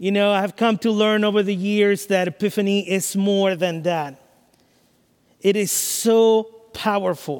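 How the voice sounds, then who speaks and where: A man's high voice at a fairly slow pace, with very even loudness and fairly even intonation. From Latin America. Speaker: pastor. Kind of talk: sermon. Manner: halting.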